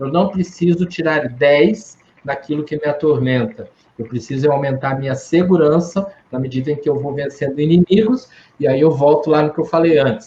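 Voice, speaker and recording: A man's somewhat breathy, dark and mellow voice, fairly high in pitch, with ordinary pitch variation at a moderate pace. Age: 60s. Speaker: psychologist. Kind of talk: Q&A talk with students.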